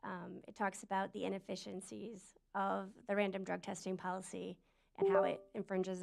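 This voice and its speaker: Vocal fry in a woman's medium-pitched delivery, moving at a moderate pace. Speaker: parent speaking at public comment. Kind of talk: public comment. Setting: school board meeting room with microphone.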